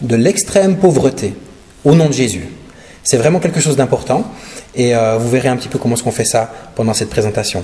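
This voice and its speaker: A man speaks with a slight Swiss French accent and very wide pitch swings. Audible room echo and noticeable background noise surround him. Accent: slight Neuchâtel Swiss French. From Switzerland, Neuchâtel region. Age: 40s. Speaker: pastor and charity speaker. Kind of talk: sermon and charity presentation. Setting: church. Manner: hesitant, many filler sounds.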